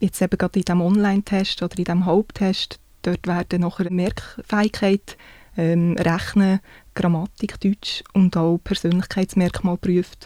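Her tone dark and mellow, a woman holds a medium pitch with monotone, flat intonation and very even loudness. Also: moderate pace, dry, close sound with no echo. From Switzerland, canton Solothurn. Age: 30s. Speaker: civil servant and police recruit. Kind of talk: interview.

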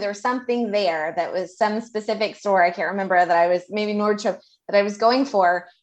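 At a fairly quick pace, a woman with an American accent speaks in a plain, everyday voice with a fairly high pitch. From Houston, Texas. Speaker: podcast host. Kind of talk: casual interview chat.

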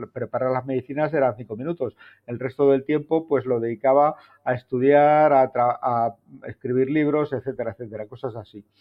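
Using an ordinary speaking voice, a man talks at a fairly quick pace with a medium pitch and fairly even intonation. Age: 60s. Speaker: TV presenter and journalist. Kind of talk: casual chat.

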